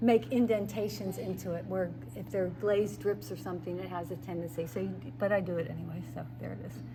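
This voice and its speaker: A woman talks at a very fast pace, her loudness swinging widely, with audible room echo around her. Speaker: pottery instructor. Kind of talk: craft demonstration.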